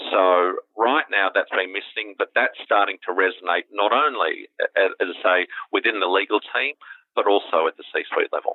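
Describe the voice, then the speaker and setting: With an Australian accent, a man talks at a moderate pace. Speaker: legal tech company founder and CEO. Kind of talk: interview.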